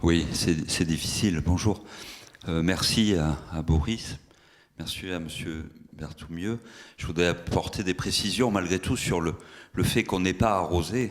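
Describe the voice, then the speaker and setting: A man talks at a very deep, low pitch. He leaves long, frequent pauses. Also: ordinary pitch variation, fairly slow pace. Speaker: municipal green spaces manager. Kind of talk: conference talk. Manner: loud.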